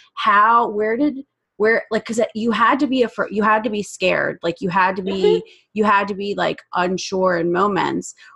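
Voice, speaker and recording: Her voice is bright and sharp, set at a medium pitch with ordinary pitch variation. She keeps a moderate pace and an animated tone. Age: 30s. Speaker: podcast host, life coach. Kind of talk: casual chat; scripted narration.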